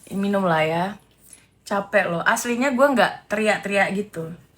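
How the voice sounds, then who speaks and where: On a very clean recording with a silent background, a woman with a medium pitch and a bright, sharp, animated tone talks at a fairly slow pace with ordinary pitch variation. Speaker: live streamer commenting on celebrity gossip. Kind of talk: casual live stream chat.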